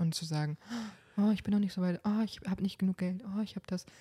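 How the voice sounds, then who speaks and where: A woman talks at a very fast pace, medium in pitch and somewhat breathy, with fairly even intonation. The sound is dry and close, with no echo. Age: 20s. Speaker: human design expert. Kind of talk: casual chat. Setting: sitting on the floor of a nearly empty flat.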